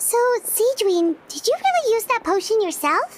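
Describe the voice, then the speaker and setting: A woman uses a put-on character voice, extremely high and squeaky. She keeps a moderate pace with lively intonation. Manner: surprised, puzzled.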